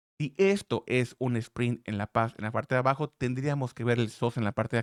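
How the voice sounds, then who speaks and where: A man's medium-pitched voice at a very fast pace, with ordinary pitch variation and a dry, close sound with no echo on a very clean recording with a silent background. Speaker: trading analyst YouTuber. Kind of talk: market analysis tutorial. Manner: loud.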